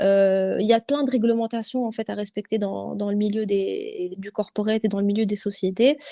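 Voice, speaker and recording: The voice has a dark, mellow tone and monotone, flat intonation at a moderate pace. The sound is dry and close, with no echo. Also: woman. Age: young. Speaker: corporate lawyer. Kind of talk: interview answer.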